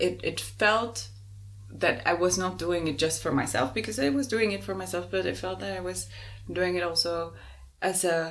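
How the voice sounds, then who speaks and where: In a Spanish accent, a woman speaks at a moderate pace with lively intonation. Her pitch is fairly low. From Uruguay. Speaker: podcast co-host. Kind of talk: casual conversation.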